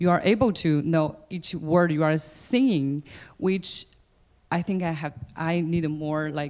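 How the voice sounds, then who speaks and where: Very slowly, a woman speaks at a fairly low pitch. The recording is very clean, and the background is silent. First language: not English. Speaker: opera singer. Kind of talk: audience Q&A answer.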